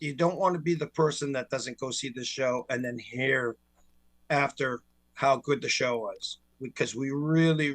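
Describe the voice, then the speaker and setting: A man with a fairly high pitch talks fairly slowly in an ordinary speaking voice with fairly even intonation. The sound is dry and close, with no echo. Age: 60s. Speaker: tribute band singer. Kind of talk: casual chat.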